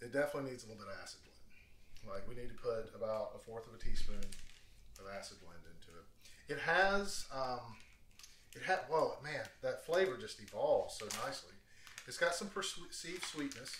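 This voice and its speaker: The speech moves at a moderate pace with big swings in loudness. There is audible room echo and light background noise. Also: man. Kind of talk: tutorial. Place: kitchen. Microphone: camera far.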